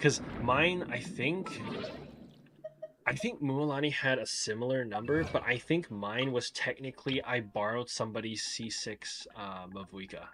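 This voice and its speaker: Over noticeable background noise, a man with a medium-pitched voice talks at a moderate pace with lively intonation. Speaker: gaming streamer. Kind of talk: casual livestream chat. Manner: casual, filler-heavy.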